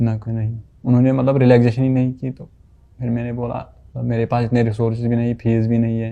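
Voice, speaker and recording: A man's medium-pitched, dark and mellow voice, flat and monotone, at a moderate pace. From Kashmir. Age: young. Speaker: painter and labourer, medical entrance exam candidate. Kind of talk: interview answer.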